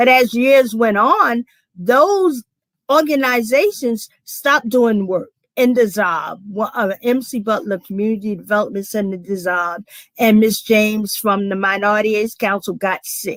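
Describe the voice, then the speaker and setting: Delivered at a moderate pace with ordinary pitch variation, the speech comes in a South Carolina accent. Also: woman, fairly high pitch for a woman. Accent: Southern US, South Carolina. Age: 60s. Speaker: community organization founder. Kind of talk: panel discussion.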